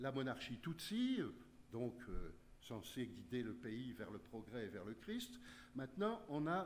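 Against light background noise, a man speaks at a very slow pace with very wide pitch swings. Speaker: historian; conference speaker. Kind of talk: lecture. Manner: animated. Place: meeting room.

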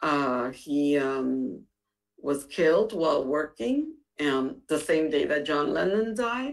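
A very deep, low-pitched woman's voice with an American accent, very wide pitch swings, very even loudness and a very slow pace. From Harlem, New York; New York. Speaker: county council politician. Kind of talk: panel discussion. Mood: reflective, personal. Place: home room. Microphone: video call.

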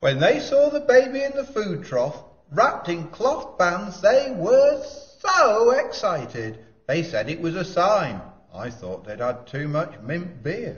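A man does a cartoonish character voice. It is high-pitched and fairly slow. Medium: puppet show. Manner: grumbling, wry, sceptical.

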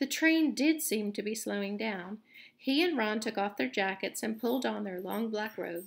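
Lively intonation in a plain reading aloud

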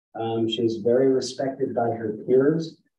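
A man with a dark, mellow tone and fairly even intonation speaks amid light background noise and audible room echo. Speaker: program teacher presenting a student. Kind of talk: formal speech of praise at a meeting. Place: meeting room. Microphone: camera far.

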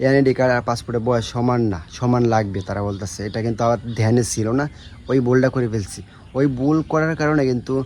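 A man talks in an ordinary speaking voice at medium pitch, with ordinary pitch variation. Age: 20s. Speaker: vlogger, former migrant worker. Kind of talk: vlog monologue.

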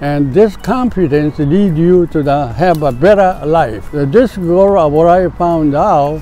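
Music plays in the background as a man talks at a very slow pace. The sound is dry, with no echo. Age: 80s+. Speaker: disc golfer. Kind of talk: interview answer. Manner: hesitant, halting. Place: open country.

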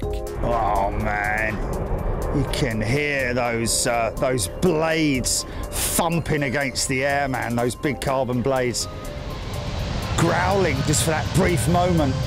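A man speaks with a British accent at a very slow pace. The sound is dry with no echo, but loud background noise is present. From England. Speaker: aviation livestream commentator. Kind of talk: live commentary.

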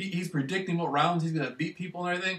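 Ordinary pitch variation is heard along with audible room echo. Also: man. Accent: American. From Michigan, US. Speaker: vlogger. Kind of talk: casual monologue. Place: home room. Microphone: webcam.

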